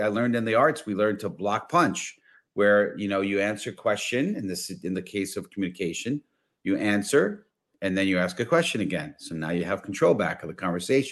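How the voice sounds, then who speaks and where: In a very clean recording with a silent background, a man with a New York accent talks at a moderate pace and a fairly low pitch. His tone is energetic, with ordinary pitch variation. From New York, the Bronx. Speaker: business consultant and networking coach. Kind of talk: interview.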